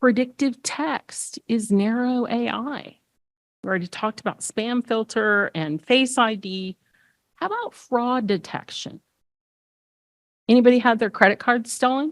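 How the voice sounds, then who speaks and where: A woman with a Texas accent speaks at a fairly slow pace with long, frequent pauses, her high pitch showing ordinary variation. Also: dry, close sound with no echo. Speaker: accessibility expert, conference speaker. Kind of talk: conference talk. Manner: animated.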